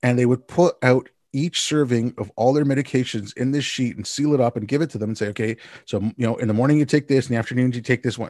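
A man with a Montreal accent speaks at a very fast pace with fairly even intonation. The sound is dry and close with no echo, over a quiet background. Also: medium pitch for a man. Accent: Canadian (Montreal). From Montreal, Canada. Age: 50s. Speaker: podcast host. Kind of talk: casual interview chat.

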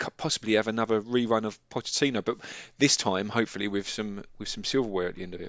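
A man speaks at a fairly low pitch in a plain, everyday voice. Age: 40s. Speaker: football podcast co-host. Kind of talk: casual chat.

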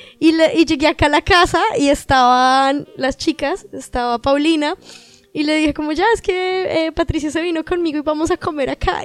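Over music in the background, the voice moves at a moderate pace with ordinary pitch variation in a dry, close sound with no echo. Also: woman. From Colombia, Caribbean coast. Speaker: podcast guest. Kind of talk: casual chat.

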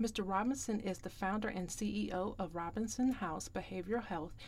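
A woman talks at a moderate pace. Vocal fry runs through her voice. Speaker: podcast host and grief coach. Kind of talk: podcast interview.

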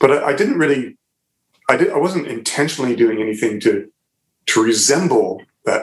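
Male speech of moderate pace and ordinary pitch variation. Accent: Ontario. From Southern Ontario, Canada. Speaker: musician and visual artist. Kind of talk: casual interview chat. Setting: remote call from his art studio.

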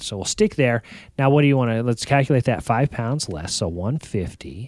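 Very clean recording, silent background, with a dry, close sound and no echo. A man talks at a moderate pace and medium pitch. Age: 30s. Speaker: fitness podcast co-host. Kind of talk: casual chat.

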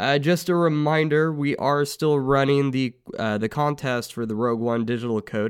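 Here is a man with a normal speaking voice. He keeps a moderate pace. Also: very clean recording, silent background. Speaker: podcast co-host. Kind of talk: podcast intro.

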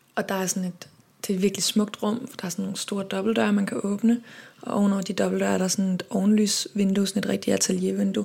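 A somewhat breathy woman with a dark, mellow tone and medium pitch talks at a very fast pace, with fairly even intonation and big swings in loudness. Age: 30s. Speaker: singer and composer. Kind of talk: interview.

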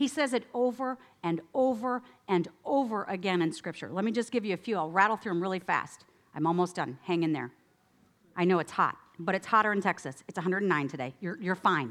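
With an American accent, a woman at medium pitch talks at a fairly quick pace, her pitch swinging very widely. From upstate New York. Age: 50s. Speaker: guest speaker at church. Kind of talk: sermon. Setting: outdoor tent meeting with audience. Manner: casual, animated.

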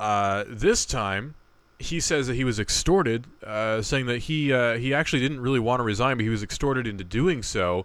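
Recorded very cleanly against a silent background, a man uses an ordinary speaking voice at medium pitch, with ordinary pitch variation and a moderate pace. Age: 20s. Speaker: podcast co-host. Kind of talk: casual chat.

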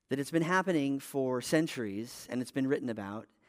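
An ordinary speaking voice, a man at a medium pitch talks at a fairly quick pace with ordinary pitch variation in a very clean recording with a silent background. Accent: American. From Texas. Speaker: pastor. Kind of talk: sermon.

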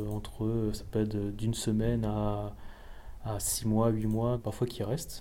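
A man's voice with audible room echo. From Alsace, France. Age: 30s. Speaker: motion designer. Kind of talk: interview.

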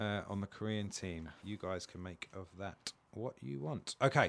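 Speaking at a very slow pace, a man talks with a British accent. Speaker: comedian. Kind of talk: casual chat.

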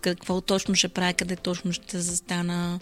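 A woman speaks at a moderate pace, her pitch in the medium range and her voice somewhat breathy. The recording is very clean, with a silent background. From Bulgaria, Burgas. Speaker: singer. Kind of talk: casual chat.

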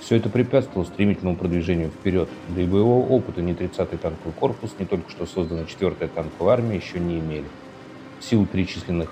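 The voice is solemn and dramatic in tone, delivered at a very fast pace with ordinary pitch variation against noticeable background noise. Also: man. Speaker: podcast narrator. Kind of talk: scripted narration of wartime history, podcast documentary style. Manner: steady, measured, formal and solemn, with a dramatic documentary tone.

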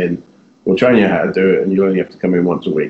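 A man with a fairly low voice rattles along at a very fast pace while noticeable background noise runs underneath. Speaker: diabetes blogger. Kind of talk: casual interview.

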